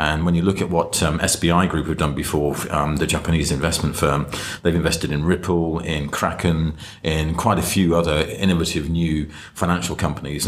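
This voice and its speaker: A man speaks with a very deep, low voice at a moderate pace. His intonation stays monotone and flat over noticeable background noise. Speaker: fintech commentator. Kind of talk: casual chat.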